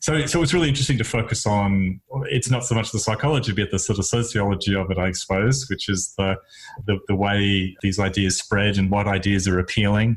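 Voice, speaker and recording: This man talks at a fairly quick pace in an Australian accent, his voice somewhat breathy. His loudness stays very even throughout. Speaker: psychologist, podcast host. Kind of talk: casual chat. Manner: halting.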